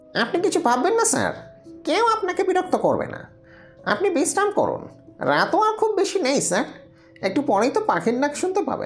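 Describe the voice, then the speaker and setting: A put-on character voice over clear music in the background. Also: moderate pace. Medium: read story. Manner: deferential, keeps saying "sir".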